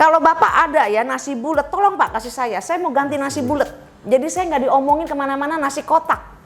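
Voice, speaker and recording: Loud and animated, a woman talks at a very fast pace with high pitch and ordinary pitch variation. Noticeable background noise can be heard. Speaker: cooking course owner. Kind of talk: interview.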